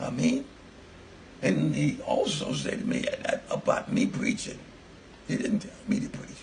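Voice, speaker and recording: Fairly slow speech from a man with long, frequent pauses and noticeable background noise. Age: 80s+. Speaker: elderly interviewee giving religious testimony. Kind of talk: testimony.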